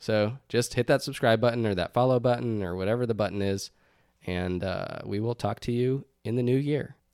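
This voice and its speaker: A man with an American accent talks at a moderate pace in a medium pitch, with ordinary pitch variation and a normal speaking voice. The recording is very clean, with a silent background. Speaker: podcast co-host. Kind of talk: casual chat.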